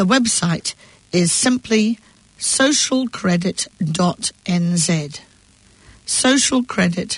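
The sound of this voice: At a slow pace, a woman talks with a fairly low pitch.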